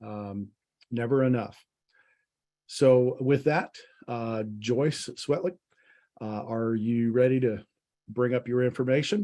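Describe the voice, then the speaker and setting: A man with a dark, mellow tone talks at a very slow pace, leaving long, frequent pauses. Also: medium pitch for a man, ordinary pitch variation. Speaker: webinar moderator. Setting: online video meeting.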